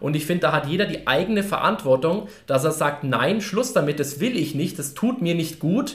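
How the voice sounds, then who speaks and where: A high-pitched man with lively intonation. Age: 20s. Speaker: coaching company staff member. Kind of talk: casual chat.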